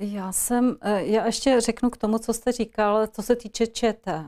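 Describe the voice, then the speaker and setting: A woman talks at a fairly slow pace. Her tone is dark and mellow. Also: quiet background. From Czech Republic, Ostrava (Moravia-Silesia); Moravia-Silesia, Czech Republic. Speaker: politician, party candidate; politician, candidate. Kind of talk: political interview. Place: studio. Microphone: lapel.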